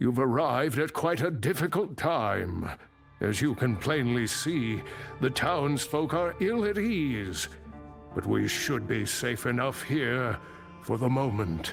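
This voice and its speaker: With clear music in the background, a man puts on a character voice at medium pitch, with very wide pitch swings, very even loudness and a fairly slow pace. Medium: video game. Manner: measured, formal, scholarly.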